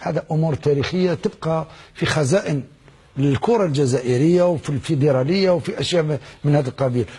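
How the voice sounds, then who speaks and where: A man with a fairly high pitch speaks at a moderate pace. His voice is somewhat breathy, with ordinary pitch variation. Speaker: former footballer. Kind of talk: TV interview answer.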